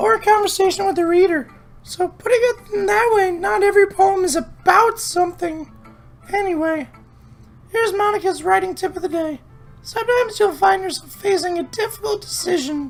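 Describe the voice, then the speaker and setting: Putting on a squeaky character voice, a man speaks at an extremely high pitch with an upbeat tone and a fairly quick pace while faint music plays in the background. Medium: game stream. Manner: bright, upbeat.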